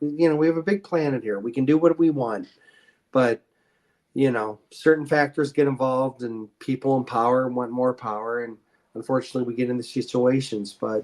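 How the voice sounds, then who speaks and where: In a Midwestern US accent, a man speaks at a fairly quick pace. His pitch is medium, with ordinary variation. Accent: US Midwest. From Ohio, Akron. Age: 50s. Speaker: podcast guest. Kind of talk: casual chat. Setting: live video stream.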